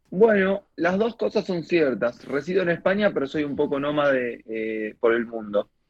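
Talking at a moderate pace, a man uses a fairly high voice whose pitch rises and falls very widely. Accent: Argentine. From Argentina. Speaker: stand-up comedian. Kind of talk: radio interview with comic storytelling. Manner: animated.

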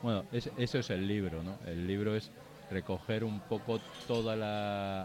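A man's fairly low pitch in an ordinary speaking voice, at a fairly slow pace with ordinary pitch variation. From Bilbao, Basque Country. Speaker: book author. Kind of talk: casual chat. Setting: live show with audience in a bar.

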